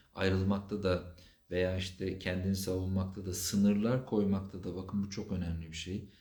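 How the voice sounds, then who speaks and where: Over audible room echo, a man speaks at a moderate pace with a very deep, low pitch, a dark, mellow tone, and a somewhat breathy quality. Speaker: psychotherapist. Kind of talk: live Q&A stream. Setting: livestream.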